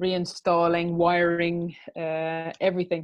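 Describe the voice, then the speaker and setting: The woman's delivery is very slow, set against a quiet background. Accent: Irish. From Ireland. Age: 40s. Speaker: restaurant owner and mother. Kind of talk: interview. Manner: hesitant, many fillers.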